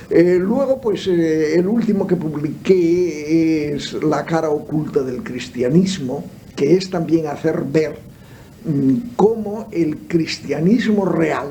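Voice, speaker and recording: The speech comes very slowly with ordinary pitch variation, amid audible room echo and noticeable background noise. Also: man, high pitch for a man. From Spain. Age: 70s. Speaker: theologian and philosopher. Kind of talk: radio interview. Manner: halting, many fillers.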